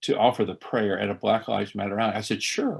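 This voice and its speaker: In an Appalachian accent, a man talks at a fairly quick pace with vocal fry, on a very clean recording with a silent background. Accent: Appalachian Southern US. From East Tennessee Appalachia, Carter County. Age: 60s. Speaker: priest. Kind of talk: conversational interview. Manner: animated; halting with fillers.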